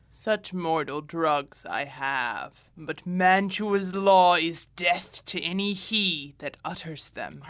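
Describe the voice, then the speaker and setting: Using a put-on character voice, a man speaks at a high pitch and a very slow pace, with hardly any pauses and ordinary pitch variation. The recording is very clean, with a silent background. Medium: audio drama.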